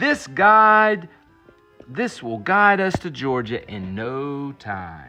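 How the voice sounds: A man uses a put-on character voice with a bright, sharp tone, medium pitch and lively intonation. He goes at a very slow pace while faint music plays in the background.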